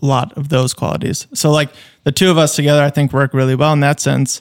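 In a dry, close sound with no echo, a man talks in an ordinary speaking voice. He has a fairly high pitch and fairly even intonation. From Minnesota, Fergus Falls. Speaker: video production company co-founder. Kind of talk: casual interview chat.

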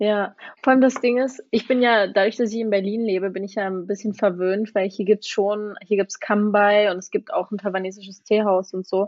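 A woman with an ordinary speaking voice talks at a fairly quick pace with hardly any pauses. Her pitch is medium and her intonation fairly even. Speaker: former exchange student. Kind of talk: casual chat.

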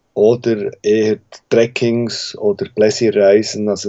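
This is a man speaking. His pitch is fairly low. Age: 40s. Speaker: mountain guide and expedition business owner. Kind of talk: interview.

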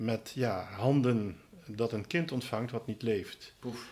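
This man talks very slowly, his medium-pitched voice rising and falling in an ordinary way. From Netherlands, Limburg (Roermond). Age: 60s. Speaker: deacon. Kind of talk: casual interview. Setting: parish house. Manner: hesitant, many filler sounds.

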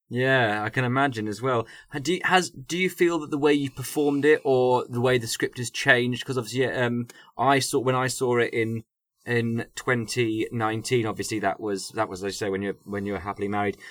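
A man speaks in an unremarkable speaking voice at medium pitch with ordinary pitch variation. He moves at a fairly quick pace over a very clean recording with a silent background. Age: 30s. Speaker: podcast host and performer. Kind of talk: casual chat.

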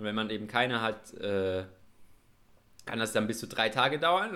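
Lively intonation marks this man's medium-pitched voice. He speaks at a moderate pace. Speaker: podcast co-host, university student. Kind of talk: casual chat. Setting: remote call, connected separately.

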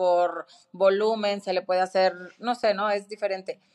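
The delivery is fairly slow, in a normal speaking voice. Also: woman. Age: 40s. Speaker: fitness studio founder. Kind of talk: interview.

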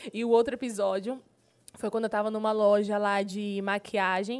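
A woman's animated, fairly high voice in a very clean recording with a silent background. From Pará, Brazil (Marabá). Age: 20s. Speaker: gospel singer and TV presenter. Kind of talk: casual interview.

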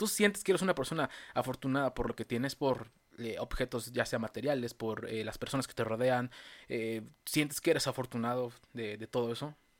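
On a very clean recording with a silent background, a man with a Mexican accent speaks fairly quickly at a medium pitch with ordinary pitch variation. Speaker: podcast host. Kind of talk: casual chat.

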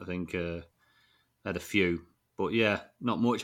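Heard on a very clean recording with a silent background, a voice with a northern English accent has a bright, sharp tone and fairly even intonation. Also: man. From northern England. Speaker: fantasy football podcast host. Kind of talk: casual chat.

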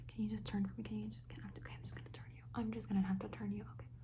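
A playful tone over noticeable background noise. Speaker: ASMR creator role-playing a makeup artist. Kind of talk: asmr roleplay, whispered makeup-artist role-play addressed to an imagined client.

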